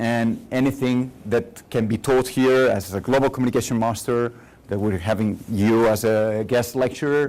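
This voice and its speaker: With a Catalan accent, a man talks at a moderate pace and medium pitch, with ordinary pitch variation. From Catalonia, Spain. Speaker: guest lecturer in public relations. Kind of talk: lecture. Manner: halting.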